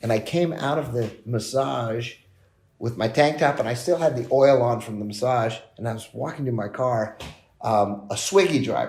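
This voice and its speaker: Here a man speaks at a moderate pace with ordinary pitch variation. His voice is somewhat breathy. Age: 60s. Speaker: business executive. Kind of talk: podcast interview. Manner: conversational, with fillers and repetitions.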